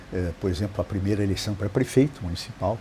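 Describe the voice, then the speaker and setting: A man's very fast speech, fairly low in pitch, with ordinary pitch variation. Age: 60s. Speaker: city council legislative director. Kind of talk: interview. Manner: hesitant, with fillers.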